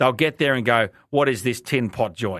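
On a very clean recording with a silent background, a man talks at a moderate pace and medium pitch. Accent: Australian. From Australia, Brisbane. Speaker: radio host. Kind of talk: opinion monologue. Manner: calm, casual.

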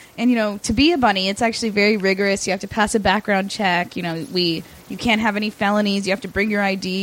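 A woman talks at a fairly quick pace with a medium pitch and ordinary pitch variation. It is a plain, everyday voice. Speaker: sex worker. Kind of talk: casual interview.

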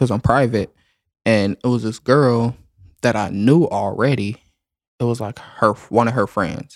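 In a very clean recording with a silent background, a man with an American accent uses a normal speaking voice at a medium pitch with ordinary pitch variation, the sound dry and close with no echo. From US South. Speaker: delivery driver. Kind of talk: casual chat.

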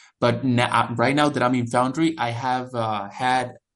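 Against a quiet background, a man speaks with a Spanish accent at a medium pitch. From El Salvador. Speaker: international student. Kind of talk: interview. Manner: halting.

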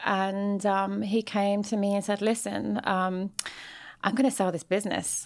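In a London accent, a woman speaks at a medium pitch and a fairly slow pace. The recording is very clean, with a silent background. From London, England. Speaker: celebrity facialist and entrepreneur. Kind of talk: interview conversation.

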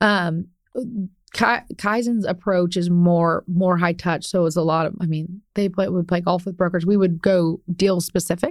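A woman with a plain, everyday voice talks at a fairly slow pace with hardly any pauses. Her pitch is fairly low and her intonation fairly even. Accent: American. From Ohio, US Midwest. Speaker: commercial real estate broker. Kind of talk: interview conversation.

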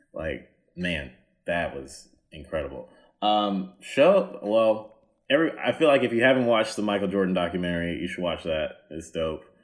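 A normal speaking voice with an American accent keeps a moderate pace, its intonation lively. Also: man, fairly low pitch for a man. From US South. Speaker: comedian. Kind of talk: casual chat. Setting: video call.

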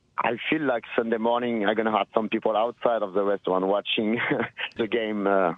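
A man with a French accent talks fairly quickly in a fairly low voice, keeping his intonation fairly even and his loudness very even. Background noise is noticeable. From France, Nantes area (Brittany). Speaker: restaurant manager. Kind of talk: street interview. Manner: halting.

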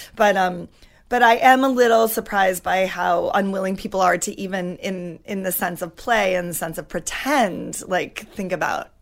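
A woman with an American accent speaks in a normal speaking voice at a moderate pace, her pitch medium with ordinary variation. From Washington State (Wenatchee). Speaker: playwright and actor. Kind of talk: casual interview chat.

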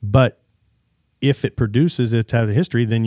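In a very clean recording with a silent background and a dry, close sound with no echo, a man with an American accent talks at a moderate pace and medium pitch in a dark, mellow tone. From Kansas. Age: 40s. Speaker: gun shop owner. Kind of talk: casual chat. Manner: halting.

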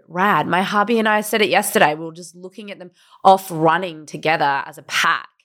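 A woman with an Australian accent talks at a medium pitch and a fairly quick pace. Her pitch varies in an ordinary way while her loudness swings a lot. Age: 30s. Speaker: podcast co-host. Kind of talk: casual chat. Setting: hotel room, video call.

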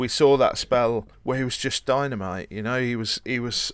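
Medium in pitch with ordinary pitch variation, a man talks in a plain, everyday voice at a moderate pace on a very clean recording with a silent background. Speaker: football podcast co-host. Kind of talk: casual chat about football.

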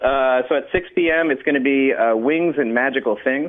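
Here is a man with an ordinary speaking voice. He talks at a fairly quick pace with ordinary pitch variation. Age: 30s. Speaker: magician. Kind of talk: radio interview. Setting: phone call.

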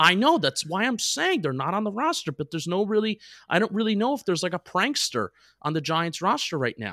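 Raised and projected, a man's high, bright, sharp voice moves at a fairly quick pace with very wide pitch swings, dry and close with no echo on a very clean recording with a silent background. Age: 20s. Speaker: sports podcast co-host. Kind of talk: casual chat.

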